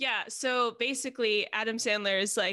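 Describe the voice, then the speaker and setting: A woman with an American accent and a bright, sharp tone at a fairly slow pace, in a very clean recording with a silent background. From New Jersey (Montclair). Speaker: podcast co-host. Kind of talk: casual chat.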